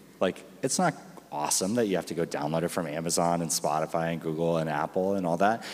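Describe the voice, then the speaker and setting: A man with a very deep, low-pitched voice. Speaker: panel moderator. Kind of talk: conference panel discussion. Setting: stage with audience. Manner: loud.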